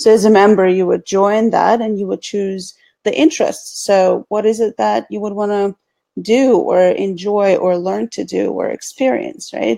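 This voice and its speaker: With a Russian accent, a woman talks at a moderate pace in a dry, close sound with no echo. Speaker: marketing consultant. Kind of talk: video call interview.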